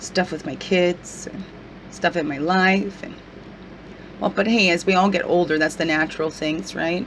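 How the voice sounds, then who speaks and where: There is noticeable background noise as a woman talks at a fairly slow pace. Her pitch varies in an ordinary way. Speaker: spiritual guidance vlogger. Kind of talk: casual video vlog.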